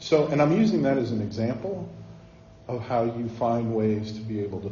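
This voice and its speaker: A calm, medium-pitched man's voice with an American accent at a fairly quick pace, with audible room echo and noticeable background noise. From northern Ohio, Cleveland area. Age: 50s. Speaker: communications professional. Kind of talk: talk with audience Q&A.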